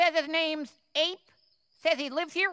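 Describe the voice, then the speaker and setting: Using a cartoonish character voice at an extremely high pitch, a woman talks at a moderate pace with fairly even intonation. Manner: clipped, officious.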